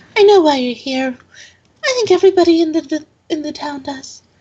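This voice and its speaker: A squeaky, female-sounding put-on character voice with an extremely high pitch speaks at a fairly quick pace. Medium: actual play. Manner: fussy, kindly.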